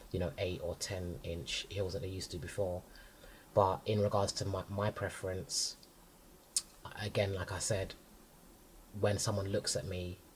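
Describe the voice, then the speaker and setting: A man's fairly low, somewhat breathy voice in a London accent, at a moderate pace with monotone, flat intonation and long, frequent pauses. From North London. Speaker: designer and stylist. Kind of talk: casual interview chat.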